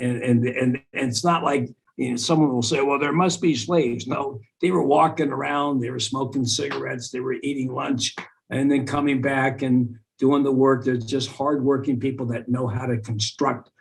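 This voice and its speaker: Medium pitch from a man, moderate pace, fairly even intonation. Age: 60s. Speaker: radio host, activist and comedian. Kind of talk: interview. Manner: halting, many repetitions and fillers.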